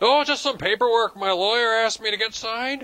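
In a cartoonish character voice with an extremely high pitch, a man speaks at a fairly quick pace. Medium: puppet show. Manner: wheedling, evasive.

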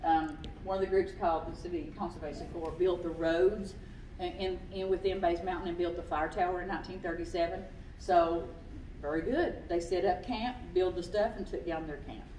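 The voice moves at a moderate pace with fairly even intonation, carrying audible room echo and light background noise. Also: woman, fairly low pitch for a woman. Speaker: naturalist. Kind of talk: local history talk with slides. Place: hall. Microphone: camera far.

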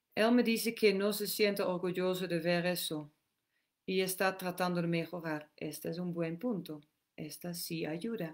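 The background is quiet. A woman speaks with a fairly low pitch. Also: fairly even intonation, fairly slow pace. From Netherlands. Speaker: women's empowerment and meditation teacher; meditation teacher. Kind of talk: live Q&A session. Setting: live stream, outdoors. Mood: calm, gentle. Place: home room. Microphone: webcam.

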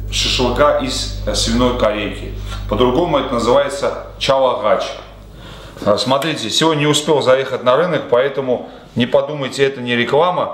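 Audible room echo around a man's moderate pace. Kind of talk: cooking tutorial. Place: home room.

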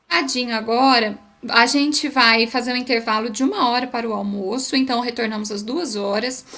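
A woman's high-pitched voice at a moderate pace with ordinary pitch variation. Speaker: event moderator. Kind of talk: event moderation. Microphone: audio problems, some could not hear her; webcam.

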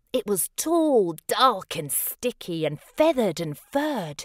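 Speaking slowly at a medium pitch with big swings, a woman is heard in a very clean recording with a silent background, the sound dry and close with no echo.

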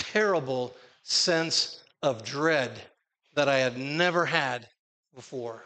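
Speaking with an American accent at a very slow pace, a man leaves long, frequent pauses, his fairly high pitch carrying a bright, sharp tone and ordinary pitch variation. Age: 60s. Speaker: preacher; conference preacher. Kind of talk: sermon. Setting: stage with audience. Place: church.

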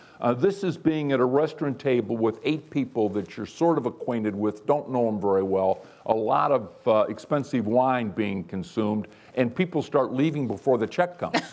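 The man speaks at a moderate pace. His intonation is lively. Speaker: manufacturing company CEO; panelist. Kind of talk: panel discussion. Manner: humorous. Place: hall.

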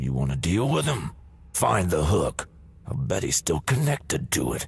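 A man speaks at a moderate pace in a put-on character voice, his very deep, low pitch making very wide swings. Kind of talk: video game dialogue.

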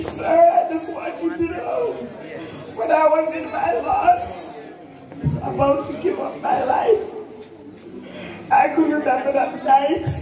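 With music in the background and audible room echo, a woman speaks at a very slow pace. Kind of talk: emotional tribute speech. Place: church.

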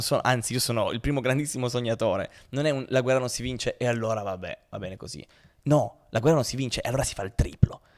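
The man's pitch varies in an ordinary way against a quiet background. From Turin, northern Italy; northern Italy. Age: 20s. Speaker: pianist and humanitarian worker; podcast guest. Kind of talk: casual interview. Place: studio. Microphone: studio mic.

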